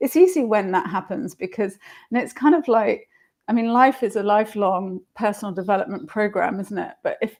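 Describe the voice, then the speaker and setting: Speaking with a London accent, a woman has a fairly high pitch and lively intonation at a fairly quick pace. The recording is very clean, with a silent background. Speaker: marketing entrepreneur. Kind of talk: live stream interview. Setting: live video stream.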